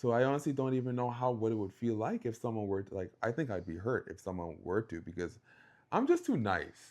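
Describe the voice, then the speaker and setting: In a quiet background, a man with a slight Bahamian accent and a medium-pitched voice talks at a fairly quick pace with ordinary pitch variation. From Bahamas. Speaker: podcast co-host. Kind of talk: casual chat.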